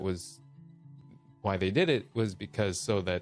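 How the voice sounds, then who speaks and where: A man speaks as music plays in the background. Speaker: voice actor. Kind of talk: casual livestream talk.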